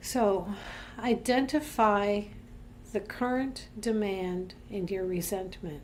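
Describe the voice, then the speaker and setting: Very slowly and in a calm tone, a woman speaks at a medium pitch with ordinary pitch variation, with audible room echo around her. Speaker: minister leading a devotional series. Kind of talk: devotional talk; guided reflection.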